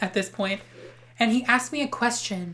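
The delivery moves at a moderate pace with ordinary pitch variation. It is a normal speaking voice. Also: woman. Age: 20s. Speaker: podcast co-host. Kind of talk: casual chat.

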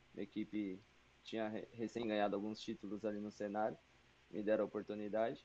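A man with fairly low pitch and a dark, mellow tone speaks at a very fast pace in a monotone, flat intonation. Long, frequent pauses break up his speech. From São Paulo, Brazil. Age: 20s. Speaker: esports team manager and player. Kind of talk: casual chat.

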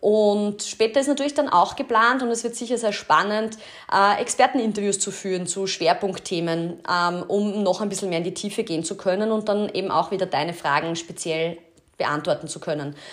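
A woman at medium pitch with a Styrian accent, ordinary pitch variation and a moderate pace. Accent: Styrian Austrian German, slips into dialect. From Austria, Styria (Kapfenberg). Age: 30s. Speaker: podcast host. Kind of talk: casual podcast monologue.

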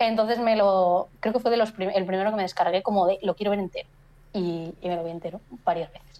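The voice has a dark, mellow tone and fairly even intonation at a very fast pace. Its loudness swings widely. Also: woman, medium pitch for a woman. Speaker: photographer and photography teacher. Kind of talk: casual chat. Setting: live stream.

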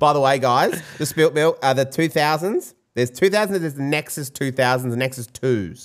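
This man has an Australian accent and a fairly high pitch. He talks at a moderate pace with ordinary pitch variation. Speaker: podcast host and DJ. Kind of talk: casual chat. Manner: casual, swearing.

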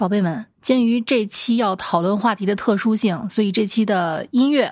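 A woman talks in an animated tone at medium pitch. Her pitch varies in an ordinary way. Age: 30s. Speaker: podcast host. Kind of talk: casual monologue.

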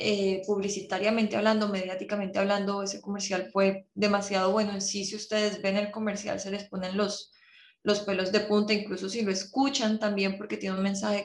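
Speaking at a moderate pace with hardly any pauses, a woman of medium pitch keeps a monotone, flat intonation. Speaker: podcast host. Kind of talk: casual interview chat.

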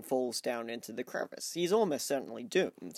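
A man with an Australian accent talks with lively intonation. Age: 20s. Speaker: podcast co-host. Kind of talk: casual chat; scripted narration.

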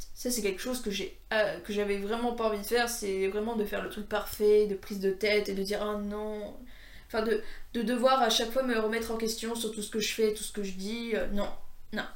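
Her delivery is monotone and flat, fairly quick, with audible room echo. The woman's voice is fairly high in pitch. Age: 20s. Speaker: podcaster. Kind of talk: casual monologue. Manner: halting.

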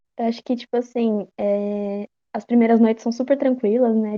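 Intonation stays monotone and flat. The pace is moderate. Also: woman. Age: 20s. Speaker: horror game fan. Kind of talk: casual chat.

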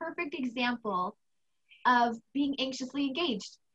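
A woman with an American accent speaks at a fairly slow pace in a high voice, bright and sharp in tone. Her delivery is animated and enthusiastic, raised and projected, with ordinary pitch variation. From United States. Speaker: anxiety coach and podcast host. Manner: animated, enthusiastic.

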